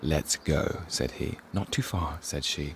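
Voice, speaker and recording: Soft-spoken speech comes through over noticeable background noise. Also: man. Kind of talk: poetry reading. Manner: quiet, soft-spoken.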